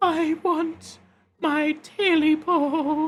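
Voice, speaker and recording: A put-on character voice comes out high-pitched and hoarse, delivered in a flat monotone. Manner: croaking.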